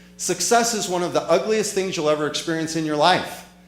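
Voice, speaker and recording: Noticeable background noise and audible room echo surround a high-pitched man whose pitch varies in an ordinary way. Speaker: motivational speaker. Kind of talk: motivational talk. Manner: fast; animated.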